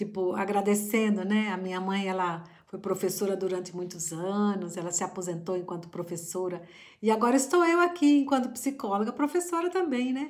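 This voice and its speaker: Lively intonation marks this woman's speech at a moderate pace. Her pitch sits in the medium range. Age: middle-aged. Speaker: psychologist and family constellation therapist. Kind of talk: reflective talk to camera. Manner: halting.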